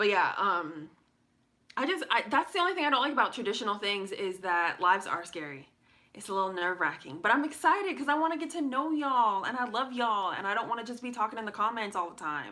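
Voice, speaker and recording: The pace is very fast. The pitch swings very widely. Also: woman, fairly high pitch for a woman. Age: 20s. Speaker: livestreamer, lifestyle vlogger. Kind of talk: casual live chat. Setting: livestream, camera on tripod. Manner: stuttering, stumbling over words; chatty, candid.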